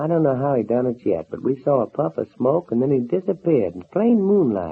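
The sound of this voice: A man's put-on character voice at medium pitch, with big pitch swings, vocal fry and a slightly husky edge. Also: fairly quick pace.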